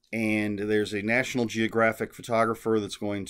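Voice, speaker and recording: Against a quiet background, a man talks in a fairly low pitch. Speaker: book vlogger. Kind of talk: casual vlog chat. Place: home room. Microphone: webcam.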